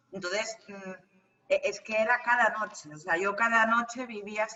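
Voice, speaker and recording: Fairly slow speech from a woman at a fairly high pitch. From Spain, El Bierzo (León). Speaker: medium and psychic. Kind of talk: interview. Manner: halting.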